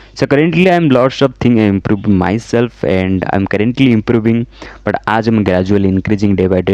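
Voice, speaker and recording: The speaker has an Odisha accent and a moderate pace. Pitch varies in an ordinary way, captured in a dry, close sound with no echo. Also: man. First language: Odia. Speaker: software engineer and YouTuber. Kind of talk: personal story vlog. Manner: halting.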